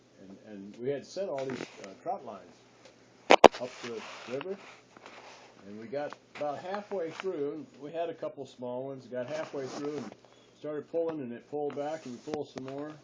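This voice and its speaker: Over noticeable background noise, the speaker goes at a moderate pace with long, frequent pauses and ordinary pitch variation. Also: man, fairly high pitch for a man. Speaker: grandfather. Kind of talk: family storytelling.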